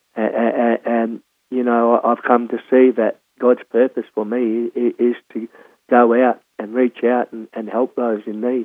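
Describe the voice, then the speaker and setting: A man with an Australian accent speaks at a medium pitch. His delivery is monotone and flat at a fairly slow pace. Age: 60s. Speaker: former prisoner sharing life story. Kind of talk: testimony. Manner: halting, many repetitions and fillers.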